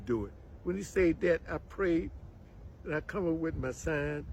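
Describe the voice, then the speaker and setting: With an American accent, the speaker talks at a moderate pace, somewhat breathy, with lively intonation. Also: man. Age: 80s+. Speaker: farmer. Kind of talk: testimony.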